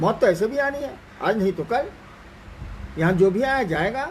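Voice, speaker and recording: Noticeable background noise behind a man speaking with lively intonation. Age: 70s. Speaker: spiritual teacher. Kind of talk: spiritual talk answering questions. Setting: live Facebook stream.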